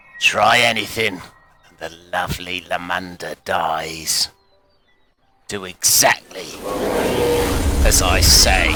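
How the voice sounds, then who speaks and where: A man's put-on character voice, very deep and low, at a fairly slow pace with faint music in the background. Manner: sinister, threatening.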